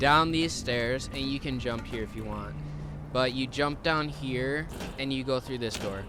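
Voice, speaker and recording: Over music in the background, a soft-spoken man with a medium pitch talks at a fairly slow pace with fairly even intonation, and audible room echo surrounds him. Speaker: gaming streamer. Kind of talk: gameplay commentary. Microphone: too quiet.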